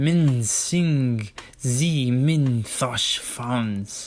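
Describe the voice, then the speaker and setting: A man puts on a character voice at a medium pitch. Hissing comes through his speech. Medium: read story.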